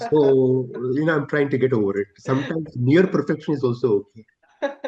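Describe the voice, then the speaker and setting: A somewhat breathy, dark, mellow tone in an Indian accent, at a fairly quick pace with ordinary pitch variation. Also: man, fairly high pitch for a man. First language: Telugu. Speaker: steel industry executive. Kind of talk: interview.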